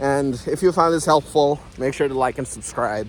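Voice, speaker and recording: Over noticeable background noise, a man with a non-native accent speaks at a fairly slow pace. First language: not English. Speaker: self-help YouTuber. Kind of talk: casual vlog monologue. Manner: hesitant, many fillers.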